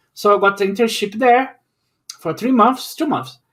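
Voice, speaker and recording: The speaker is a man. He talks in a raised, projected voice. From Brazil. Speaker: YouTuber, journalist. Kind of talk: casual chat.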